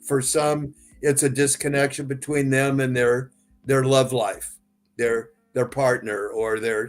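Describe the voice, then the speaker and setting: Monotone and flat, a man at medium pitch speaks at a fairly slow pace. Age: 70s. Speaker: psychotherapist. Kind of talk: interview. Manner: halting.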